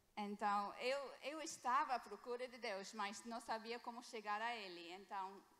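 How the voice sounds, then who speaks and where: Speaking at a fairly slow pace with hardly any pauses, a woman has a fairly high pitch and ordinary pitch variation. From England. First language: English (speaking Portuguese). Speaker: missionary doctor. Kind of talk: sermon. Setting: church. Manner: halting.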